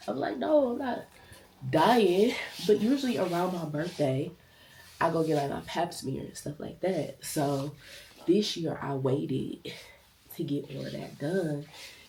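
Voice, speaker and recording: With a very deep, low pitch, a woman speaks fairly slowly with lively intonation and long, frequent pauses. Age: 30s. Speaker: nurse and lifestyle vlogger. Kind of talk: casual vlog talk.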